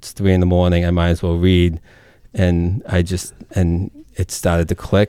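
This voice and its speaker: On a very clean recording with a silent background, a man with a very deep, low pitch and a dark, mellow tone speaks at a moderate pace in a monotone, flat intonation. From Massachusetts, Merrimack Valley (Lowell). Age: 30s. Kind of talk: radio interview.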